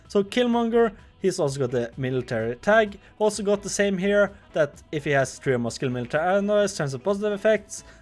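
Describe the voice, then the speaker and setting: With music in the background, a man speaks at a high pitch with very wide pitch swings. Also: fairly quick pace. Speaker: gaming YouTuber. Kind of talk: game update commentary. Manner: fast; halting, self-correcting.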